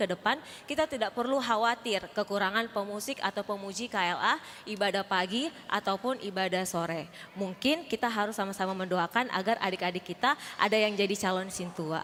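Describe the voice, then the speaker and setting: With a normal speaking voice, a woman talks at a fairly quick pace and medium pitch, her loudness very even and her pitch variation ordinary. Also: hardly any pauses. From Indonesia, Makassar (Sulawesi). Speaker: Sunday school teacher. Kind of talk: welcome speech at church service. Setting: church. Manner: formal.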